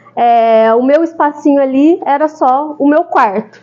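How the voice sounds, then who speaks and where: A high-pitched woman's voice with a São Paulo accent. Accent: São Paulo (paulista). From São Paulo, Brazil. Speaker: architect, speaker. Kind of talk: talk to a group. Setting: live audience. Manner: casual, conversational.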